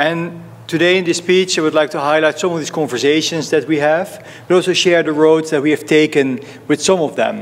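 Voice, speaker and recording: Against noticeable background noise, a man with a Dutch accent talks at a fairly quick pace. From Netherlands. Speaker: fund manager. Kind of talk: conference talk.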